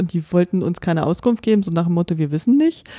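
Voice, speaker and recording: The voice has a dark, mellow tone, and the sound is dry and close with no echo. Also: woman. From Brandenburg, eastern Germany. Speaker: podcast co-host. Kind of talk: casual chat.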